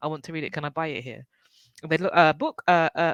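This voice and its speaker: A voice with a strong British accent rushes along at a very fast pace. The recording is very clean, with a silent background. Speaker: book club panel host. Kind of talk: casual conversation.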